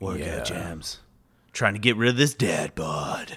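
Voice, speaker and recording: A man puts on a raspy character voice with fairly low pitch. His intonation is lively and his pace fairly slow. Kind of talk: cool, slick.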